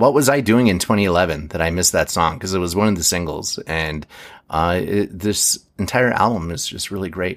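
A man with a fairly low pitch and ordinary pitch variation talks in an unremarkable speaking voice. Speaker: music podcast host. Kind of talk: casual chat.

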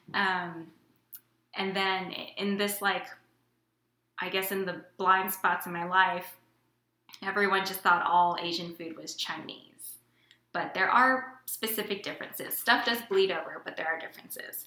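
A woman with an American accent speaks in a bright, sharp tone with fairly even intonation. Her loudness swings widely, long pauses come often, and the room echo is audible. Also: medium pitch for a woman, fairly slow pace. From Houston, Texas. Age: late 20s. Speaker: tech worker, aspiring dietitian. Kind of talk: casual chat.

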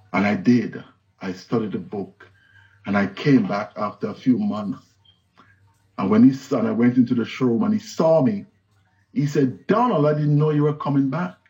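With music in the background, a man with a fairly high pitch and very wide pitch swings speaks at a moderate pace, leaving long, frequent pauses. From Jamaica, Kingston. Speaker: pastor. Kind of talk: sermon.

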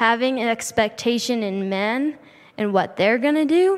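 A woman speaking at a fairly slow pace. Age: 20s. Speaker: nursing student and guest speaker. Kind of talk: shared church message with guided prayer.

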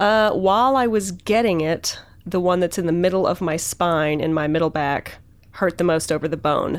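A woman has an ordinary speaking voice, fairly low in pitch, with ordinary pitch variation and very even loudness. She talks at a moderate pace in a very clean recording with a silent background. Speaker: podcast host. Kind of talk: casual chat.

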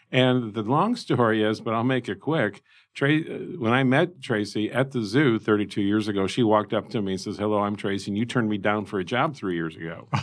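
Talking at a fairly quick pace, a man with a Midwestern American accent has a fairly low pitch and ordinary pitch variation. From Indiana, US Midwest. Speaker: zoo director. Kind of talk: interview. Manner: animated.

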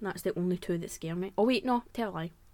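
With a Glaswegian accent, a woman talks at a medium pitch. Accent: Glaswegian Scottish. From Scotland, Glasgow. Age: 20s. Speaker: podcast host. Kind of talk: casual chat.

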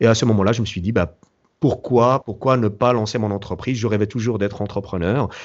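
Here a man talks at a fairly quick pace. His pitch sits fairly low. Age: 40s. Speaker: entrepreneur and event founder. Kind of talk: interview. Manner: halting.

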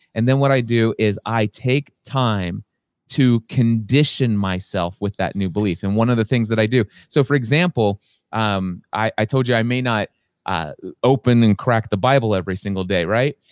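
The man has a normal speaking voice, with medium pitch, ordinary pitch variation and a moderate pace. The very clean recording has a silent background and a dry, close sound with no echo. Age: 40s. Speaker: business and life coach. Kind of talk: interview. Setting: podcast recording.

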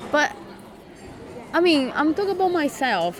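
A voice with a Brazilian accent comes through over noticeable background noise. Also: woman. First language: Portuguese. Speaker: migrant living in London. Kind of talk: casual interview story. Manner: laughs often, conversational.

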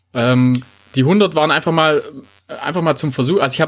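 A man in a Swabian accent speaks with a fairly high pitch and lively intonation. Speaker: running podcast host. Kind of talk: casual chat.

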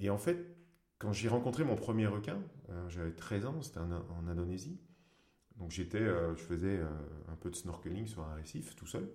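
A man speaks with a very deep, low pitch, a dark, mellow tone and a somewhat breathy quality, his pitch varying in an ordinary way. He keeps a moderate pace with long, frequent pauses, and room echo is audible. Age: 40s. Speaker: free diver and underwater photographer. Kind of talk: interview.

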